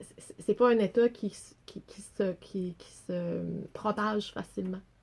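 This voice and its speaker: A woman with a Quebec accent speaks at a very slow pace, her intonation fairly even. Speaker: storyteller. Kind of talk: casual chat.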